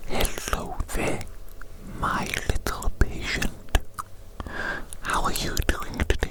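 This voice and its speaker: A whispering voice moves at a very slow pace with long, frequent pauses. Noticeable background noise is present. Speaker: ASMR creator playing a medical professional. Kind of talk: ASMR medical roleplay, whispered close-up. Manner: whispering, soft, repetitive.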